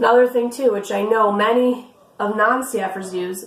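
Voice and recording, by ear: A woman with a raspy, fairly high voice speaks at a moderate pace. Her intonation is fairly even, and the room echo is audible.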